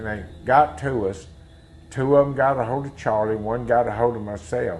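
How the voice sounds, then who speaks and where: Music plays behind a man speaking with a Mississippi accent. His fairly low voice moves at a moderate pace with lively intonation. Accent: Southern US (Mississippi). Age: 60s. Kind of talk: interview testimony.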